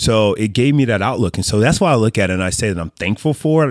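On a very clean recording with a silent background, a man with a fairly low pitch speaks very fast. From US South, Mississippi, moved around often. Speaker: sports and entertainment business executive. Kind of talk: casual chat.

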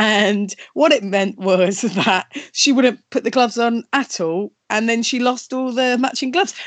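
It moves along at a moderate speed, and its pitch varies in an ordinary way. This is an ordinary speaking voice. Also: woman. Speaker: live show host. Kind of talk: casual chat. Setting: video call from home.

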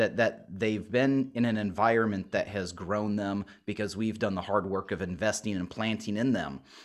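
A man with an unremarkable speaking voice talks at a moderate pace with hardly any pauses, his pitch fairly low and his intonation fairly even, on a very clean recording with a silent background. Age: 40s. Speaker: pastor. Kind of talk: interview.

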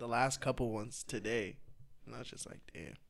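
Speaking at a very fast pace with fairly even intonation, a man with an American accent is heard in a very clean recording with a silent background. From Boston. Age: 20s. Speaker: DJ and former social media comedian. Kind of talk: casual chat.

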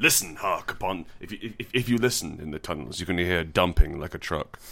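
In a put-on character voice, a man speaks at a very deep, low pitch and a moderate pace on a very clean recording with a silent background. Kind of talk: mock-archaic epic drama. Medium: solo performance. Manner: solemn, ominous, overwrought.

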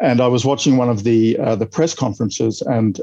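A man's dark, mellow voice at medium pitch, with ordinary pitch variation, a moderate pace and an Australian accent. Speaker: epidemiologist. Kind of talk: interview.

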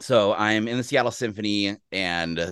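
In a plain, everyday voice, a man with an American accent speaks fairly low and fairly slowly with ordinary pitch variation, the sound dry and close with no echo against a quiet background. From Texas, Austin. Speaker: orchestral horn player and music professor, powerlifter. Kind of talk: casual interview conversation.

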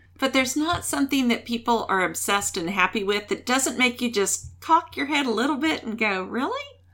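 With noticeable background noise behind her, a woman with a high pitch talks at a fairly quick pace with lively intonation and hardly any pauses. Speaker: podcast host. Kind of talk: casual interview.

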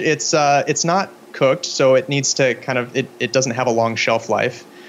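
The man's voice sits at medium pitch with ordinary variation, in a Pacific Northwest accent. Background noise is noticeable. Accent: American (Pacific Northwest). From US Pacific Northwest (Spokane, Washington). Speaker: filmmaker. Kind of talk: interview. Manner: halting, many fillers.

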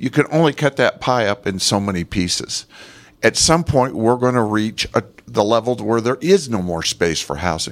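Speaking in an American accent, a man at a medium pitch makes very wide pitch swings. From Moab, Utah (from Los Angeles as a child). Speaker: city council candidate. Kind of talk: candidate debate. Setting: public library, live radio broadcast with audience.

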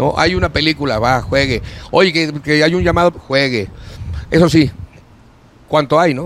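A man with a fairly high voice speaks slowly and with lively intonation, leaving long, frequent pauses amid noticeable background noise. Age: 60s. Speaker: actor and entertainer. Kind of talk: casual chat. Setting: studio.

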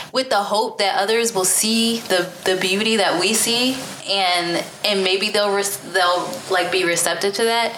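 A woman speaks fairly slowly at a medium pitch, her loudness very even and her intonation fairly even, over noticeable background noise. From US Northeast. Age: 30s. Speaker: podcast host. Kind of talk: casual conversational interview. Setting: studio recording at a gallery.

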